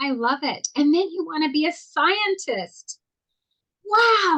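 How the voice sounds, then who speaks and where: With a raised, projected voice and a bright, sharp tone, a woman talks at a very slow pace through very wide pitch swings. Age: 60s. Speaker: talk show co-host. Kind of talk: casual interview. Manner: animated.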